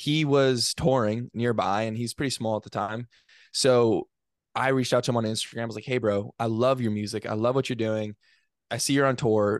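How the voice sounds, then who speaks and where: Over a quiet background with a dry, close sound and no echo, a man with a medium pitch speaks at a moderate pace with fairly even intonation. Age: 20s. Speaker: college student and podcast producer. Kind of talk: casual interview chat.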